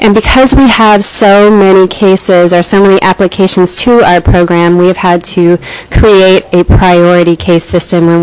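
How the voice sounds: A soft-spoken woman at a moderate pace, her pitch fairly low and tone slightly mellow, with fairly even intonation over faint background noise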